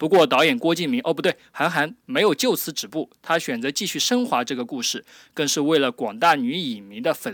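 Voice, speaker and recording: A man speaks with a fairly high pitch that swings very widely. The sound is dry and close, with no echo. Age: 20s. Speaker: podcast host. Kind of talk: casual chat; scripted narration. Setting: remote call.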